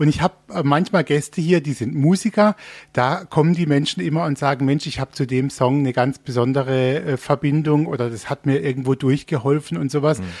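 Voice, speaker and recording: In a dry, close recording with no echo and a silent background, a man with a normal speaking voice talks at a fairly quick pace, his pitch fairly high and ordinarily varied. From Baden, Germany. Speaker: radio host. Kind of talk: casual interview. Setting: radio studio in theme park.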